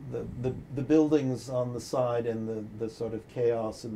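Speaking at a fairly slow pace, a man keeps his intonation fairly even over light background noise. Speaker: interviewee. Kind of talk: interview answer. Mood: reflective, warm. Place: office.

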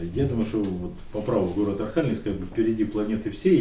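Talking very fast with lively intonation, a man with a fairly low voice is heard amid audible room echo and light background noise. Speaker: city mayor. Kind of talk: interview answer. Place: office.

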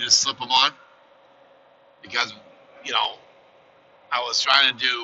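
The speaker is a man. He goes at a moderate pace over light background noise. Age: 50s. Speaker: truck driver vlogger. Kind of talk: casual vlog monologue. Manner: halting, many fillers. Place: car.

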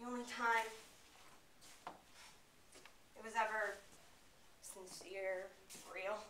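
Here a woman speaks very slowly in a monotone, flat way. Light background noise and audible room echo are present. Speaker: student actor. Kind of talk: dramatic monologue performance. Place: classroom. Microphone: camera far.

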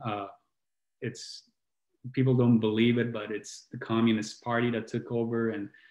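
Against a quiet background, a man speaks at a moderate pace with audible room echo. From southern Italy, Puglia (Brindisi); Puglia, Italy. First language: Italian. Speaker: healing coach and musician, co-host; healing coach, co-host. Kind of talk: casual chat. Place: home room.

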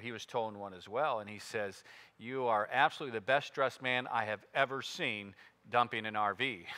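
A man talks at a moderate pace in a bright, sharp tone. His pitch moves in an ordinary way. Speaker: pastor. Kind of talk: sermon. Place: church.

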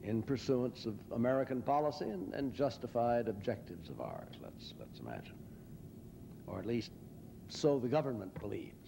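Through noticeable background noise, a man with a dark, mellow tone and vocal fry speaks at a moderate pace, showing ordinary pitch variation and big swings in loudness. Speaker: lecturer or public speaker. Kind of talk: lecture. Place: hall. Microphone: podium.

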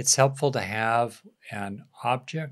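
In a quiet background, a man speaks at a very slow pace. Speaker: meditation teacher. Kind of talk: guided meditation introduction. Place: home room. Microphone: studio mic.

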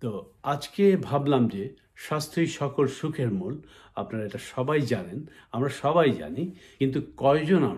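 This man's voice sits fairly high, with lively intonation and vocal fry. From Bangladesh. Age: 60s. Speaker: YouTuber. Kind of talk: vlog tutorial. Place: home room. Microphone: phone near.

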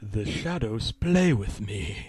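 A put-on character voice moves at a slow pace with lively intonation, a slightly mellow tone and a slightly husky edge. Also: man.

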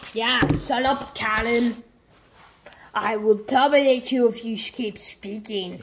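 A put-on character voice, female-sounding and fairly high in pitch, at a fairly slow pace with long, frequent pauses. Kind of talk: comic villain impression. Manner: flat, menacing.

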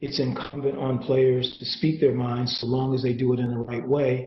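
A somewhat breathy voice with an American accent. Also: man. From US Midwest. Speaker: sports business executive. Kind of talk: guest lecture. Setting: video call.

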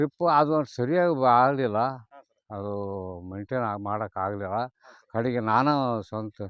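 With an unremarkable speaking voice, a man talks at a medium pitch with ordinary pitch variation. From North Karnataka, Haveri district. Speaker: retired police officer turned farmer. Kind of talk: casual interview.

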